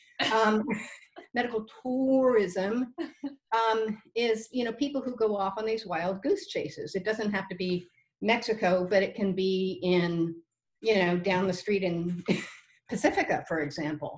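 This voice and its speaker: A woman with an American accent, somewhat breathy, medium in pitch with ordinary pitch variation, at a fairly slow pace. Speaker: podcast guest living with Parkinson's. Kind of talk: casual conversational podcast rant. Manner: hesitant, many fillers and restarts.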